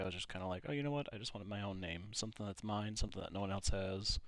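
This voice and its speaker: The pitch of this man's voice is fairly low. Its variation is ordinary. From Minnesota, US. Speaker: gaming YouTuber. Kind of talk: casual chat while playing a game. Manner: casual, many fillers.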